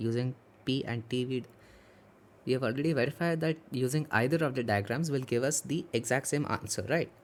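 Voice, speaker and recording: The man's medium-pitched voice moves at a fairly quick pace with ordinary pitch variation. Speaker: student tutor. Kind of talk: tutorial. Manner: fast.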